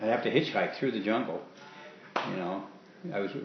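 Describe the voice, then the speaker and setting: A man with a fairly low voice and ordinary pitch variation talks over noticeable background noise. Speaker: war veteran. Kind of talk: interview answer.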